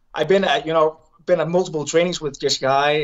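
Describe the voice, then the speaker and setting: Over a quiet background, a man with a Danish accent talks at a very fast pace with fairly even intonation. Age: 30s. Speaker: Olympic wrestler turned MMA fighter. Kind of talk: casual interview. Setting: video call from hotel. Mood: relaxed, upbeat. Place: home room. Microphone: video call.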